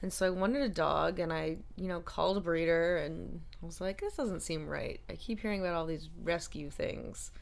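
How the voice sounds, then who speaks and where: A woman speaking at a moderate pace, with audible room echo. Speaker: actress and writer. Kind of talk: casual chat. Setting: in person in Maine.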